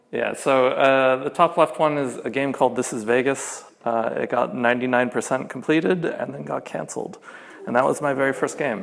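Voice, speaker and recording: Over noticeable background noise, a man of medium pitch with an American accent speaks at a fairly quick pace with ordinary pitch variation. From US. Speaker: game programmer and union organiser. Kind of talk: conference talk. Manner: casual, many filler words.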